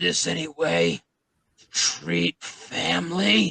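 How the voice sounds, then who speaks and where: A man growls in a raspy, very deep, low put-on character voice at a very slow pace. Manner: snarling.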